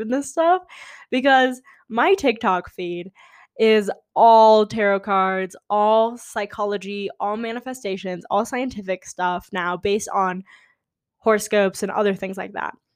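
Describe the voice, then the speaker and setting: A woman with an American accent speaks at a fairly slow pace in a fairly high pitch, on a very clean recording with a silent background. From California. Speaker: podcast host. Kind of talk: casual monologue.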